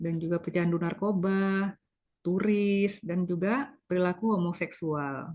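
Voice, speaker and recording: A woman at a fairly slow pace, medium pitch, fairly even intonation, against a quiet background. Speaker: medical lecturer, doctor. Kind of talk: lecture. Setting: video call.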